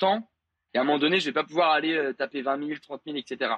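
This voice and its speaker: A man's fairly high pitch at a moderate pace with ordinary pitch variation. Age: 20s. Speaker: 3D animator and content creator. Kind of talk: casual interview chat. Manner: hesitant, many fillers.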